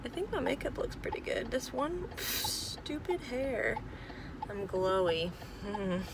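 A woman's high-pitched voice at a very slow pace, dry with no echo, over noticeable background noise. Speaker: vlogger. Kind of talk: casual vlog chat. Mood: cheerful, self-mocking. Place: car. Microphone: phone near.

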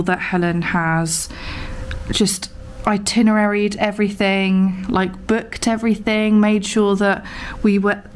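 A woman talks at a fairly slow pace. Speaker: travel vlogger. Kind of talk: casual vlog chat. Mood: grateful, warm. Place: home room. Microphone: phone near.

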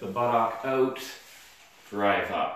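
Amid strong room echo, a man talks very slowly with fairly even intonation. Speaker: fitness instructor. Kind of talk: tutorial. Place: gym. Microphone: camera far.

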